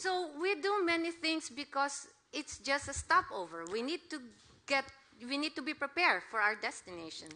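A woman's raised, projected voice sits high in pitch and moves through very wide pitch swings. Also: moderate pace. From Philippines. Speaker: missionary preacher. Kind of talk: sermon. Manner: halting.

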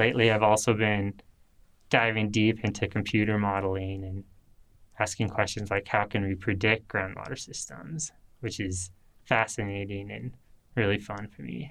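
A man with a Western US accent and a fairly low pitch, at a moderate pace with long, frequent pauses and big swings in loudness, in a very clean recording over a silent background. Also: ordinary pitch variation. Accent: American, Western US. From Utah, Salt Lake City area. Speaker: PhD student in hydrology. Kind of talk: interview monologue. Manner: casual.

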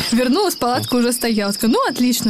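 Through noticeable background noise, a woman talks at a very fast pace in a fairly high pitch. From semi-desert region of Russia. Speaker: podcast co-host, correspondent. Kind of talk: casual chat.

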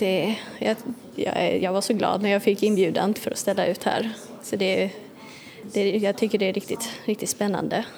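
Clear background noise runs behind a woman who talks at an even speed in a flat monotone. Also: medium pitch for a woman, very even loudness. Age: young. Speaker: illustrator. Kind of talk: interview.

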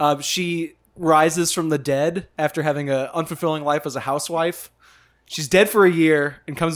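Using a normal speaking voice, a man talks at a moderate pace with a fairly high pitch. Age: 30s. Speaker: film podcast host. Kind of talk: casual chat. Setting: apartment.

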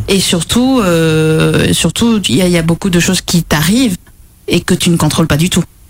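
Against noticeable background noise, a woman with a fairly low voice talks at a moderate pace. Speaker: pastry chef. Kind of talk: casual chat.

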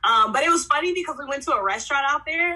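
With an American accent, this raised, projected voice has a bright, sharp tone, an animated delivery, lively intonation and a fairly quick pace. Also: woman. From Oklahoma City. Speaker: podcast co-host. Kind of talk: casual chat.

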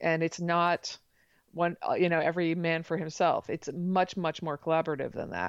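Against a quiet background, a woman with an American accent speaks at a moderate pace in a fairly low pitch with monotone, flat intonation. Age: 40s. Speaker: mathematician and author. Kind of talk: interview. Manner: halting, many fillers and restarts.

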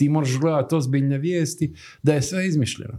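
Moderate-paced male speech in a very clean recording against a silent background. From Herzegovina, Stolac. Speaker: graphic designer. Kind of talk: casual interview.

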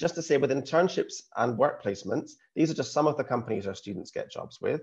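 Against a quiet background, a man with a Scottish accent speaks very fast, somewhat breathy, with ordinary pitch variation. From Scotland, small town. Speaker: university recruitment representative. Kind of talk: presentation.

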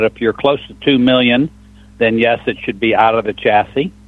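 In an ordinary speaking voice, a man talks at a moderate pace and medium pitch with fairly even intonation. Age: 60s. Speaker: truck engine shop owner. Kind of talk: call-in radio talk show. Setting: phone call.

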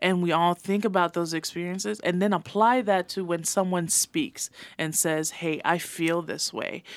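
A woman with a Samoan accent and a fairly low voice, at a moderate pace with ordinary pitch variation and hardly any pauses. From American Samoa. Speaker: activist and poet. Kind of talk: podcast interview. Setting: studio.

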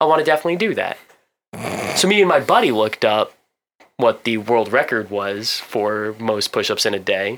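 At a moderate pace, a man of medium pitch talks with lively intonation and long, frequent pauses. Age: 20s. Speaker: business analyst, podcast co-host. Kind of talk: casual chat.

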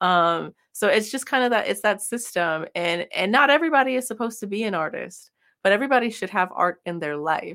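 Bright and sharp in tone, a woman with an American accent speaks fairly quickly and at a fairly high pitch with lively intonation and hardly any pauses, on a very clean recording with a silent background. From California. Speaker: singer-songwriter and Twitch streamer. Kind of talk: casual interview chat.

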